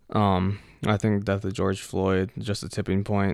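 A man's very deep, low voice with vocal fry, an American accent, and a fairly slow pace. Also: very clean recording, silent background. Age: young. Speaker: high school graduate. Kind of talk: casual interview. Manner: hesitant.

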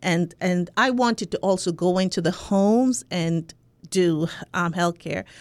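Very clean with a silent background, the recording has a woman speaking fairly slowly in a fairly low pitch, her loudness very even. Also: ordinary pitch variation. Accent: Jamaican. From Jamaica. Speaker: sociology professor. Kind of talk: interview conversation. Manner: halting, many filler words.

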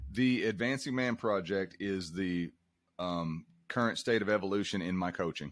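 The background is quiet as a man speaks with a very deep, low pitch. His pace is moderate, with ordinary pitch variation. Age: 50s. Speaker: performing strongman and coach. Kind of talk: interview.

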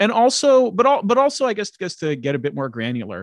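Pitch swings are very wide in this voice. The sound is dry and close with no echo, over a quiet background. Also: man. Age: 20s. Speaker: podcast host. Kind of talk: casual chat. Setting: remote recording.

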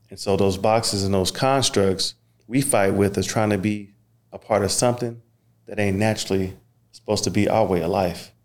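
In a very clean recording with a silent background, a man with fairly low pitch talks at a fairly quick pace with fairly even intonation. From Oklahoma (Okmulgee). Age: 30s. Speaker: podcast host, former football player. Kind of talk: casual chat.

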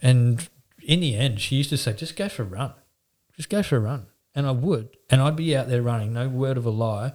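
A somewhat breathy voice with an Australian accent, a fairly quick pace and ordinary pitch variation, in a very clean recording with a silent background. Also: man, medium pitch for a man. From Newcastle, New South Wales, Australia. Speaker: painting company owner. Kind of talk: interview.

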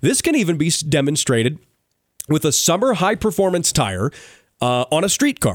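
This voice has vocal fry, very wide pitch swings and an upbeat tone at a moderate pace. The sound is dry and close, with no echo. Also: man. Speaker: radio host. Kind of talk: radio show banter. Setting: radio studio.

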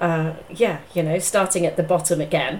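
A woman speaks in a nervous tone. Noticeable background noise is present. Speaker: business psychologist and career coach, podcast host. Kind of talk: interview about own career, conversational. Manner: slightly nervous, chatty.

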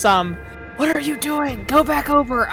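A high, put-on character voice speaks at a fairly slow pace with hissing and clear music in the background. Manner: angry, scolding.

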